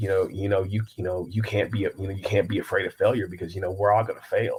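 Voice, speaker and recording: A man with an American accent talks at a very fast pace in a fairly low, somewhat breathy voice. His intonation is monotone and flat. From US Midwest, Kansas City. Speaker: writer and speaker. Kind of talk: interview. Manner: halting, many repetitions.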